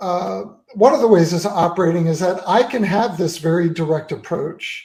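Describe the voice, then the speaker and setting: A man's voice, high in pitch, with a dark, mellow tone. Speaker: author and activist. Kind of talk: interview. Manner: monotone.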